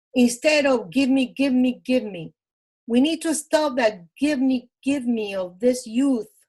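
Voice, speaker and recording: A woman talks at a fairly slow pace with a Cuban accent. Her pitch is high. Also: ordinary pitch variation. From Cuba (Matanzas). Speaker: Cuban immigrant sharing life story. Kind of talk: interview. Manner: animated.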